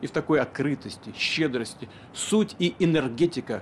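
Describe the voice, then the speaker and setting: A man talks with a normal amount of pitch movement while light noise hums in the background. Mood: calm, solemn, warm. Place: street. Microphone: lapel.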